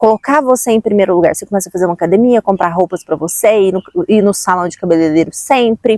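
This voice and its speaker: Lively intonation marks a woman speaking very quickly. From Brazil, Minas Gerais (Uberlândia). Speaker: self-help vlogger. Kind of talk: casual motivational talk.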